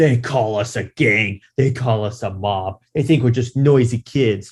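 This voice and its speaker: In a put-on character voice at medium pitch, a man talks fairly slowly. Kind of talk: defiant speech. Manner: menacing, rallying.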